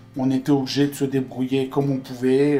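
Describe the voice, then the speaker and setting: At a moderate pace, a man speaks in a dark, mellow tone with medium pitch and monotone, flat intonation. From northeastern France, Metz. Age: 60s. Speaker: game publisher and shop founder. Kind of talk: interview.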